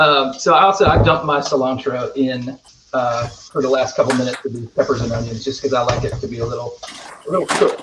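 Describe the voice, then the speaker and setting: A man with a Southern accent talks at a very fast pace with ordinary pitch variation over noticeable background noise. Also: medium pitch for a man. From US South, rural North Carolina. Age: 30s. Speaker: singer-songwriter. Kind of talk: casual chat.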